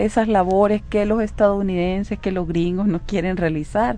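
A woman speaks in an ordinary speaking voice at a medium pitch. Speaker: legislator. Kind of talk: radio interview.

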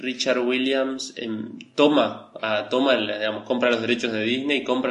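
A man with a Rioplatense accent at a medium pitch, moderate pace and monotone, flat intonation, amid audible room echo and noticeable background noise. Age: 30s. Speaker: animation podcast co-host, multimedia designer. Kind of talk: casual chat.

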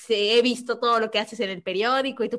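A woman with a normal speaking voice talks at a moderate pace. Her pitch is fairly high, and her intonation is lively. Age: 30s. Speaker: podcast co-host. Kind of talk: casual chat.

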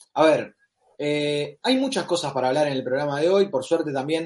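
At a moderate pace, a man talks in an unremarkable speaking voice, fairly high in pitch and with ordinary pitch variation. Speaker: football podcast host. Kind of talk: casual chat; match commentary over replay.

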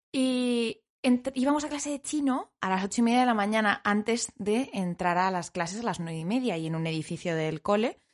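With lively intonation and a fairly high pitch, a woman talks at a fairly quick pace with hardly any pauses against a quiet background. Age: 20s. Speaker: podcast co-host. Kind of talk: casual chat.

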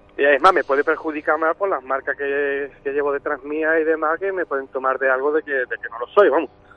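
With hardly any pauses, a man talks at a fairly quick pace in a normal speaking voice with fairly even intonation. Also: fairly high pitch for a man. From Algeciras, Cádiz, Spain. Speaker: caller, DJ. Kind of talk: testimony.

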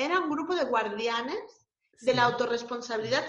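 A woman's high pitch and lively intonation at a moderate pace, with audible room echo. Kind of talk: casual interview.

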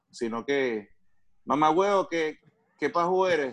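The speaker is a man. His pitch moves in very wide swings. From Venezuela. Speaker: comedian and voice impressionist. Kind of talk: casual chat.

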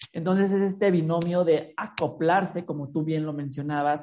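A woman with a normal speaking voice, fairly low in pitch with ordinary variation, at a fairly slow pace. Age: 30s. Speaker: podcast host. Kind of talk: interview.

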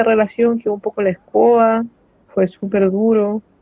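A woman with a Chilean accent, fairly high in pitch, with monotone, flat intonation. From Chile, San Fernando. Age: 20s. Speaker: actor and drag king performer. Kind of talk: casual interview conversation.

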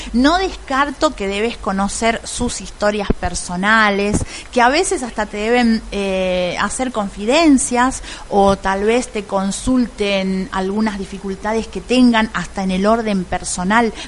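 A woman talks at a very slow pace and medium pitch with ordinary pitch variation, leaving hardly any pauses. Noticeable background noise sits behind her. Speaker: radio host. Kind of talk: interview.

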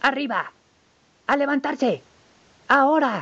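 Putting on a character voice, a man speaks in a shrill, extremely high pitch at a fairly slow pace. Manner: shouting.

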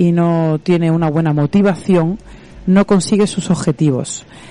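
A woman speaks at a fairly slow pace with a fairly low pitch and ordinary pitch variation. Noticeable background noise runs underneath. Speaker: radio host, physiotherapist. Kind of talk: radio interview.

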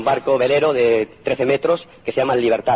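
A man's voice with ordinary pitch variation against noticeable background noise. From Spain. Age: 50s. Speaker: motivational speaker. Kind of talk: motivational talk.

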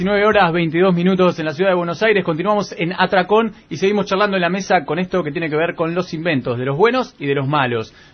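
A man with a high-pitched voice talks at a very fast pace with hardly any pauses and ordinary pitch variation. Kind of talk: casual chat.

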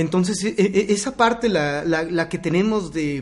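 A man's high voice moves very slowly, its pitch varying in an ordinary way. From Mexico. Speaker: podcast host. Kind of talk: casual chat.

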